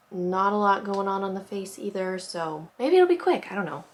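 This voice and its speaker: A woman talks at a moderate pace and a medium pitch, with noticeable background noise behind her. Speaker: makeup artist youtuber. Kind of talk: makeup tutorial. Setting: at home. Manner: soft-spoken; casual, filler-heavy.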